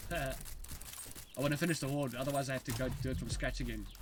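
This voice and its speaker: Noticeable background noise and audible room echo around a man speaking at a fairly quick pace. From South Africa. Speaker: game developer streamer. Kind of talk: casual live stream commentary. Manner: halting, many restarts; fast at times.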